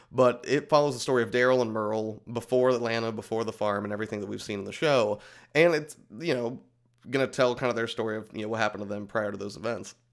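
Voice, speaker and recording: At a very fast pace, a man speaks at medium pitch with fairly even intonation, in a very clean recording with a silent background. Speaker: video game podcast host. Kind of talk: casual solo commentary. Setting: home recording to camera. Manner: hesitant, many fillers.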